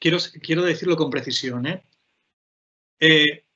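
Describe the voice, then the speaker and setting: A man's voice with a fairly high pitch. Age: 40s. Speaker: playwright, poet and teacher. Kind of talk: panel talk. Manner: fast; halting.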